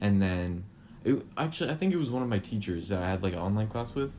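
A man talks at a fast pace with lively intonation, his pitch fairly low and his tone slightly mellow.

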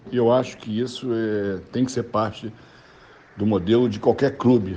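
Speaking at a fairly slow pace, a man has a medium pitch and a dark, mellow tone. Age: 60s. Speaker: club presidential candidate. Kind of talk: interview. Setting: remote call.

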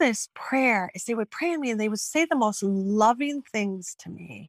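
A woman with a Midwestern American accent speaks at a moderate pace in a fairly high pitch. Her intonation is lively, and the sound is dry and close with no echo. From Michigan, Royal Oak. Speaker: testimony speaker. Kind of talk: testimony. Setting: video call. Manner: halting, many repetitions.

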